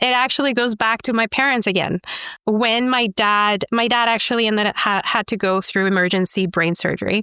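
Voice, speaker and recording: With a Spanish accent, a woman speaks at a medium pitch with ordinary pitch variation and a bright, sharp tone, recorded dry and close with no echo on a very clean recording with a silent background. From Mexico, Chihuahua. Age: 40s. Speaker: entrepreneur. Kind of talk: interview. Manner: animated.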